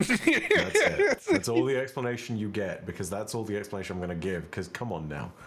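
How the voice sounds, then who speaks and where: The delivery moves at a fairly quick pace. Background noise is noticeable. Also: man. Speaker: YouTube content creator, tabletop role-play player. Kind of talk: casual chat. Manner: animated.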